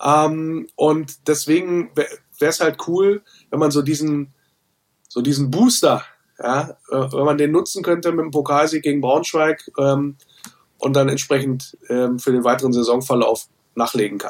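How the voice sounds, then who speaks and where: A man's plain, everyday voice, fairly high in pitch, with ordinary pitch variation at a fairly slow pace. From Wolfsburg, Lower Saxony, Germany. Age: 40s. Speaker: football fan podcaster and author. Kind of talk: casual chat.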